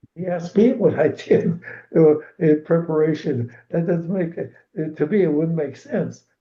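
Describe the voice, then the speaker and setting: A man is speaking. His voice has vocal fry. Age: 90s. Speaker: retired swim coach. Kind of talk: interview. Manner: halting.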